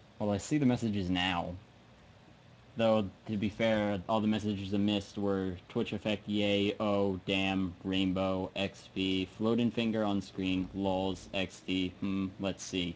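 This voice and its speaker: An American-accented man speaks very slowly. His intonation is monotone and flat. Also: fairly low pitch for a man. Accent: drops final g in -ing words. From US, South Jersey. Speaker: live streamer giving software tutorial. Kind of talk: tutorial. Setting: live stream from home computer. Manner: halting, many fillers.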